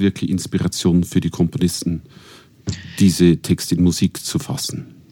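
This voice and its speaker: Speaking at a moderate pace in a Bavarian accent, a man with a very deep, low voice keeps his intonation fairly even. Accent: Regensburg Bavarian dialect. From Regensburg, Bavaria. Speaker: classical singer. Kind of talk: casual chat. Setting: studio.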